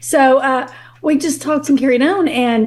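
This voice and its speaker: A woman speaks in an animated tone with a Kentucky accent. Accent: Kentucky Southern. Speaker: guest on a relationship podcast. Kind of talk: casual interview chat, storytelling.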